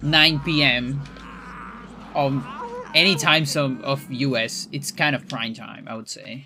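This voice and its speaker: Music plays in the background as a man speaks at a very slow pace with long, frequent pauses. His voice is fairly high with ordinary pitch variation and big swings in loudness. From Chile. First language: Spanish. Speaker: speedrunner and streamer. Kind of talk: casual livestream chat. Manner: halting, many fillers and restarts.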